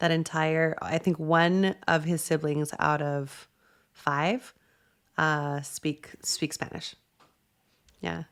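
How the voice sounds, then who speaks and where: In a very clean recording with a silent background, a woman with an American accent speaks very slowly at a very deep, low pitch, with fairly even intonation and long, frequent pauses. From New Mexico, US. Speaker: podcast host, executive coach. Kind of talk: casual interview chat.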